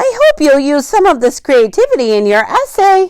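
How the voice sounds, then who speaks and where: A woman puts on a squeaky character voice, high in pitch. Her pitch swings very widely while her loudness stays very even. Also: moderate pace. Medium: read story. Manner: dry, prim, firm.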